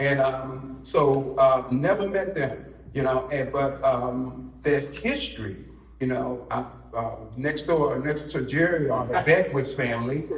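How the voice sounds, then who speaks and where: A man with an American accent at a medium pitch and a fairly slow pace, with ordinary pitch variation, audible room echo and noticeable background noise. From Washington DC area. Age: 60s. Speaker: community elder, family historian. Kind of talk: panel discussion, personal testimony. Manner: halting, with many fillers.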